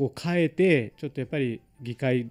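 With a dark, mellow tone and ordinary pitch variation, a man speaks at a fairly quick pace. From India, Mumbai area; India. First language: Marathi or other Indian language (speaking Japanese). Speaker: local politician; guest. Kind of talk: radio interview. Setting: studio. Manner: hesitant, many fillers. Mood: cheerful, smiling. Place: studio. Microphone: studio mic.

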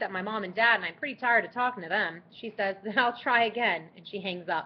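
The reading voice here sounds natural.

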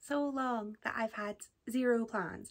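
A woman talks at a moderate pace in a fairly high pitch. Her tone is fairly bright, with ordinary pitch variation.

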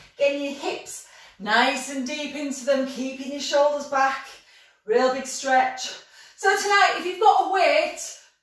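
The speaker talks at a fairly slow pace with ordinary pitch variation, and audible room echo surrounds the voice. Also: woman. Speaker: fitness instructor. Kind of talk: workout class instruction. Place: home room. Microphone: camera far.

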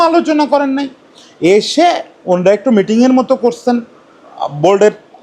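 Against noticeable background noise, a man speaks at an extremely high pitch with lively intonation. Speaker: cricket journalist and commentator. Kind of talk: solo opinion commentary. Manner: conversational, addresses viewers directly.

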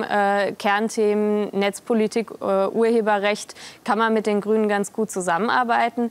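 Her pace is moderate. The woman's intonation stays monotone and flat. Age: 20s. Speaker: politician. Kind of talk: interview. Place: studio. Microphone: lapel.

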